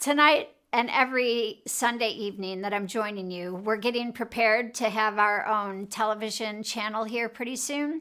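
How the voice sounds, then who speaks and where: A woman with an American accent speaks at a fairly slow pace in an animated tone, her fairly high pitch moving with ordinary variation, on a very clean recording with a silent background. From Chicago, US Midwest. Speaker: emotional health coach and show host. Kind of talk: live show talk. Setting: studio.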